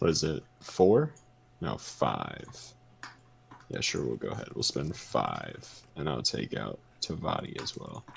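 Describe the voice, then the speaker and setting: Pausing often and at length, a man talks at a fairly slow pace. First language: not English. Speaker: board game player. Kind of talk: casual chat.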